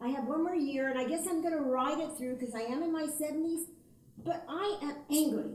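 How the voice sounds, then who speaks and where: Audible room echo surrounds a woman's high voice. She talks fairly quickly with ordinary pitch variation. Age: 70s. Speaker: audience member, retired teacher. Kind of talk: audience question.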